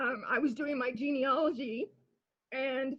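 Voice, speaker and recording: Pitched high, a woman talks with an American accent. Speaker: artist on exhibition panel. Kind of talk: panel discussion. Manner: halting, many repetitions.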